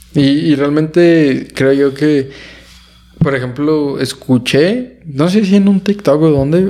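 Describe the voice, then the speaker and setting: A man speaks very slowly at a fairly high pitch, with ordinary pitch variation. Noticeable noise sits in the background. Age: 20s. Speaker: podcast host. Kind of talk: casual chat.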